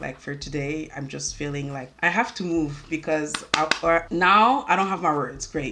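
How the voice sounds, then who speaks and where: Barely pausing, a woman with a very deep, low pitch talks at a moderate pace with ordinary pitch variation amid noticeable background noise. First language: French. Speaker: beauty YouTuber. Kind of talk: makeup tutorial chit chat. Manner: halting.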